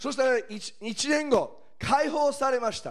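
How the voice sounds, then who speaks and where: A man is speaking. His tone is animated. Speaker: preacher. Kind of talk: sermon.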